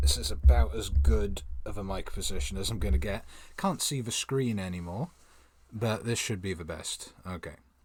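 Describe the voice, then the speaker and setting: A man speaks quietly at a moderate pace with a very deep, low pitch and vocal fry. His pitch swings very widely. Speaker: manga reaction streamer. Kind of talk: live stream reading and reacting to manga. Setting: home streaming setup. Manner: soft-spoken.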